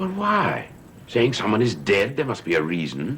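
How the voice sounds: In a put-on character voice with a fairly bright tone, the speaker swings very widely in pitch over faint background noise. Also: man, fairly low pitch for a man, moderate pace.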